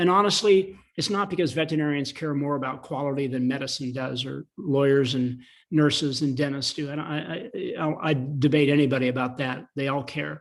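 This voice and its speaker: This man speaks at a fairly quick pace with an American accent, his pitch fairly high and its variation ordinary. The recording is very clean, with a silent background. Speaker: attorney and animal policy lobbyist. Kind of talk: panel interview. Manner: fast.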